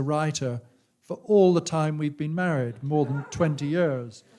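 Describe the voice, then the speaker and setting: This man's pitch is fairly high, with ordinary variation. He talks at a fairly slow pace. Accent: English. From England. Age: 60s. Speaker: author. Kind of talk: on-stage conversation. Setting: stage with audience. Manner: halting.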